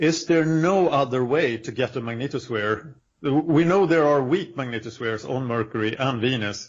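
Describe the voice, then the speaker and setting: A man's medium-pitched voice with a non-native accent, ordinary pitch variation, a moderate pace and hardly any pauses. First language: not English. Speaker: podcast host. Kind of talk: casual chat.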